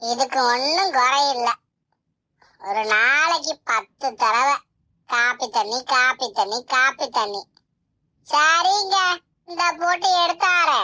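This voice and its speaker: In a cartoonish character voice, a woman speaks very slowly at a high pitch with lively intonation and very even loudness. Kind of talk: rural Tamil comedy cartoon. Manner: grumbling, sarcastic.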